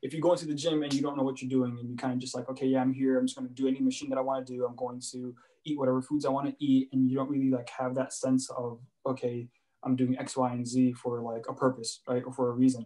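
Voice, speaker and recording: Very fast pace and monotone, flat intonation. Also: man, medium pitch for a man. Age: 20s. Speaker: content creator. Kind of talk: casual chat.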